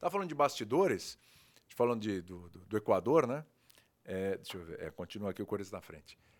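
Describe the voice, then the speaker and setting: A man with a normal speaking voice talks at a fairly low pitch, with lively intonation and big swings in loudness. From Brazil, Santos (São Paulo state). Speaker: sports TV host. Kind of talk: casual chat.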